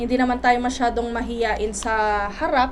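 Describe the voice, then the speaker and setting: Amid noticeable background noise and audible room echo, a woman talks at a fairly slow pace with a high pitch. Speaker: life coach and teacher. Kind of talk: motivational talk. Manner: halting, many fillers.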